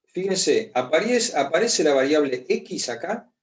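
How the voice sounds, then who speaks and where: A high-pitched man is speaking. He goes fairly slowly, with lively intonation. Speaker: math professor. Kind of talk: lecture.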